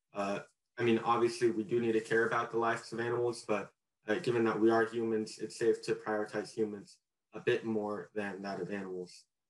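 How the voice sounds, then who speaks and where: Amid audible room echo, a man with an American accent speaks at a medium pitch with fairly even intonation. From California. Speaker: college debater. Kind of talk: competitive debate. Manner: halting, many fillers. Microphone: video call.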